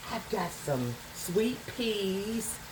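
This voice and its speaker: A woman with a Southern US accent, with audible room echo and noticeable background noise. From US South. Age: 60s. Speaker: home cook vlogger. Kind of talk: cooking tutorial. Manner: casual, rambling.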